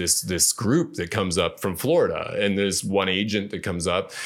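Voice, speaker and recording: An unremarkable speaking voice, this man talks fairly quickly at a fairly low pitch in a very clean recording with a silent background. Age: 50s. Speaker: former male exotic dancer and author. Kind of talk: casual interview storytelling. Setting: studio.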